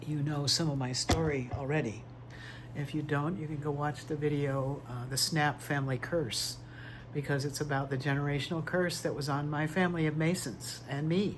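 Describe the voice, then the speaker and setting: A somewhat breathy, fairly high-pitched man at a moderate pace, with fairly even intonation and audible room echo. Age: 60s. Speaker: tarot reader vlogger. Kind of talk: personal testimony monologue. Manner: quiet, struggling to project.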